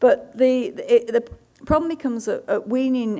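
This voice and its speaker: A woman talks in a British accent with a dark, mellow tone. Her pitch varies in an ordinary way. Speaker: dietitian. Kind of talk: conference talk Q&A. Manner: halting.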